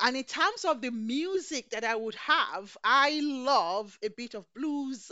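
A woman speaks at a very slow pace in a high pitch with lively intonation. Her loudness swings widely. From Nigeria. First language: Yoruba. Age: 50s. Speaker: chef. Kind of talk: casual chat. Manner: excitable.

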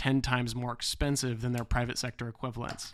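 The speaker is a man at a medium pitch. Fairly even intonation runs through his speech. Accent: Midwestern American. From US Midwest, western Illinois. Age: 20s. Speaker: political candidate and podcast host. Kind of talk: campaign monologue.

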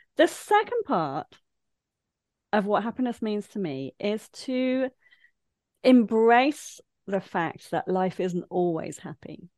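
With an East Midlands accent, a woman makes very wide pitch swings in a dry, close sound with no echo. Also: quiet background. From English Midlands (Leicester). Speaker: life coach. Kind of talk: casual interview chat.

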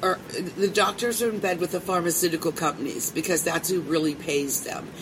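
A woman talks at a medium pitch with an American accent. There is noticeable background noise. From Pittsburgh, Pennsylvania. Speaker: cannabis radio host. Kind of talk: casual interview. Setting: expo hall.

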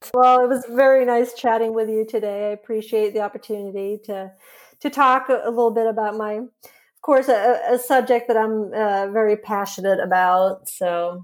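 Fairly high-pitched woman's voice with fairly even intonation at a moderate pace. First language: Swedish. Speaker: journalist and author. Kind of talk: interview. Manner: hesitant, many fillers.

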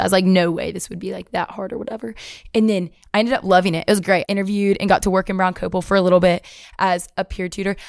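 Speaking with a Southern US accent, a woman rushes at a very fast pace, her medium pitch held in a monotone, flat intonation. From Alabama, US South. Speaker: university student, pageant winner. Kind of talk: casual interview.

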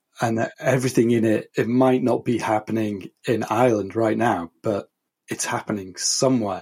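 A man's medium-pitched voice with an English accent, at a moderate pace and with fairly even intonation, in a very clean recording over a silent background. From England. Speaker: podcast co-host, publisher. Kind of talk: casual chat.

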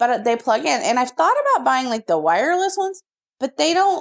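The sound is dry and close, with no echo. A woman with an American accent makes very wide pitch swings. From small-town Texas. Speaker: podcast co-host. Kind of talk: casual chat. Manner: animated.

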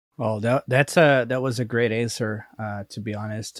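Recorded with a dry, close sound and no echo, a man with a Portuguese accent talks with ordinary pitch variation. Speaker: podcast host. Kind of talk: casual interview. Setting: remote video call.

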